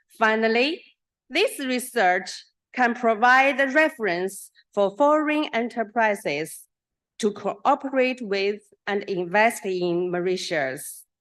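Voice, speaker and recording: A very slow pace, lively intonation, and a Chinese accent. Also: woman, fairly high pitch for a woman. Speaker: professor. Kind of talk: conference presentation. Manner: halting.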